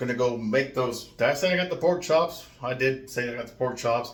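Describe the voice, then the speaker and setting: A man mumbles with an American accent at medium pitch and with ordinary pitch variation. Audible room echo surrounds his voice. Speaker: vlogger. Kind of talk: casual vlog rant. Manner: mumbling, runs words together; deliberately slowed.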